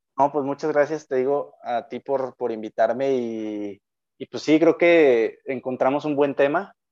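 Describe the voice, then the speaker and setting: In a Mexican accent, a man speaks fairly slowly with a fairly high pitch and ordinary pitch variation. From Mexico, Jalisco (Lagos de Moreno). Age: 20s. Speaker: engineering student. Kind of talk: casual chat.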